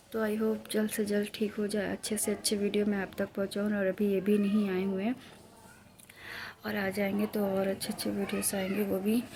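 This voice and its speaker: Speaking at a moderate pace, a woman uses a medium-pitched, somewhat breathy monotone with very even loudness. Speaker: vlogger. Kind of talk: casual vlog talk. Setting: at home.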